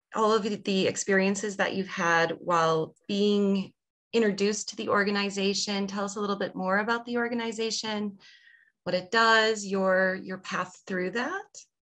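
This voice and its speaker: Over a quiet background, a woman speaks in an ordinary speaking voice, at medium pitch and a moderate pace, with fairly even intonation. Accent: American. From Wisconsin, US (Viroqua). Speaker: librarian. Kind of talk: interview.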